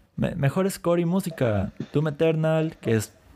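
A man with a dark, mellow tone and a somewhat breathy voice. His pitch swings very widely. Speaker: anime and gaming podcast co-host. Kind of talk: casual chat.

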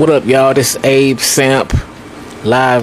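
A man speaks in a relaxed tone with noticeable background noise behind him. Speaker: phone caller, show's regular DJ. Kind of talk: casual phone chat, then laid-back sign-off patter. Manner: relaxed, easygoing, slangy.

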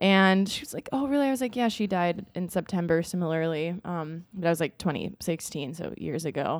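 A woman speaks at a fairly quick pace with hardly any pauses. Her intonation is lively, with a Midwestern American accent. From US Midwest. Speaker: podcast co-host. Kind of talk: casual chat.

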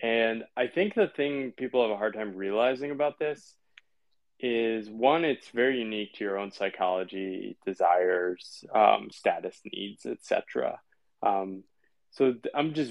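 In an American accent, a man with a plain, everyday voice talks at medium pitch with ordinary pitch variation. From US Northeast, Connecticut. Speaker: writer and former consultant. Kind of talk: casual interview.

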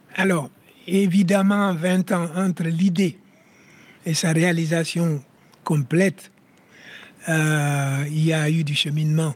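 A man with a high-pitched voice speaks at a very slow pace. His intonation stays fairly even, with long, frequent pauses. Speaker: local politician (alderman).

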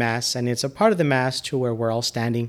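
A man speaks with an American accent in an ordinary speaking voice of medium pitch and fairly even intonation. The recording is very clean, with a silent background. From Texas, El Paso. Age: 40s. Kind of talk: casual interview conversation.

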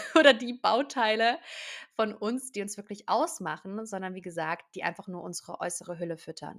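Her tone is animated. The woman's medium pitch shows ordinary variation. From southern Germany, near Stuttgart. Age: 20s. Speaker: podcast host, hypnosis coach. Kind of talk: self-help monologue.

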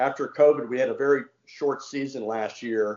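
At a moderate pace, a man with a slight Southern US accent speaks in a medium pitch. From Washington D.C., US. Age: 60s. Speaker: former mayor, cricket enthusiast. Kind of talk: casual interview. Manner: friendly, enthusiastic.

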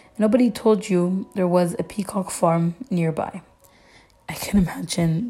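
Fairly unhurried, fairly low-pitched speech from a woman, normal pitch movement, clear noise in the background. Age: 20s. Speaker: podcast host. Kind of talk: casual chat.

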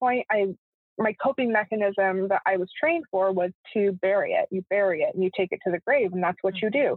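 A woman with a medium pitch talks in an unremarkable speaking voice. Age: 20s. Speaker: writer. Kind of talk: casual chat.

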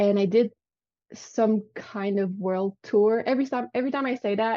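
A woman speaks in a Quebec accent, her pitch fairly high. Her tone is dark and mellow, and the sound is dry and close with no echo. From Quebec City, Canada. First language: French. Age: 30s. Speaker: vegan virtual assistant. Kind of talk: casual interview chat.

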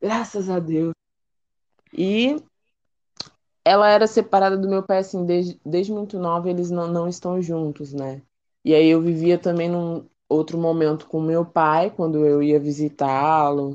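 A woman's fairly low voice at a fairly slow pace, with ordinary pitch variation and long, frequent pauses. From Brazil, São Paulo city (East Zone). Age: 20s. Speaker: cook and psychologist. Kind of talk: casual interview.

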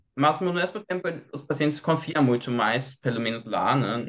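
A man with a German accent talks at a fairly slow pace. His intonation is lively. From Germany. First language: German (speaking Portuguese). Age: 20s. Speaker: doctor. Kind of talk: casual chat.

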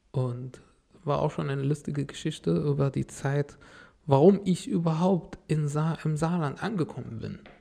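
The speaker talks at a moderate pace with ordinary pitch variation. Music plays in the background. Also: man, fairly high pitch for a man. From Syria, Damascus. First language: Arabic (speaking German). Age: 30s. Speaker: refugee, car salesman. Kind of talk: interview, life story.

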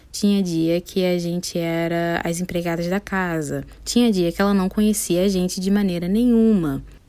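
A woman speaks at a moderate pace with hardly any pauses. Her fairly low voice has a dark, mellow tone and fairly even intonation. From Niterói, Rio de Janeiro, Brazil. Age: 20s. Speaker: podcast host. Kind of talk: casual monologue. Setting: home bedroom, seated on floor.

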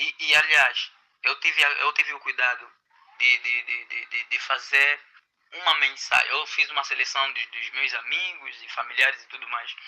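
A man speaks at a fairly slow pace. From Angola. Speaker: social educator. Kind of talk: interview answers. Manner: halting.

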